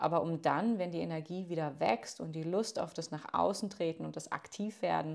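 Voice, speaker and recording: A woman's normal speaking voice, fairly low in pitch, with ordinary pitch variation and a fairly slow pace. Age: 30s. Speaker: yoga teacher. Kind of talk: recorded voice message.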